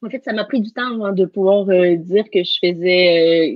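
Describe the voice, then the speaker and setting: Her pitch sits at a medium level for a woman. She keeps a moderate pace with fairly even intonation. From Quebec, Canada. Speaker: NLP coach and teacher. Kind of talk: live interview.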